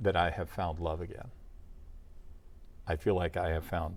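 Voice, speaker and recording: The recording is very clean, and the background is silent. In it, a man talks with a very deep, low pitch. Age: 60s. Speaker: former radio announcer. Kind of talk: interview. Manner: hesitant, many fillers.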